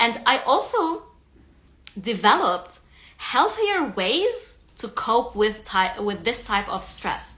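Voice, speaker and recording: At a very slow pace, a woman speaks with a non-native accent. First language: not English. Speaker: stress eating coach. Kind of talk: live stream talk. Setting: Instagram live. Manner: halting, with self-corrections.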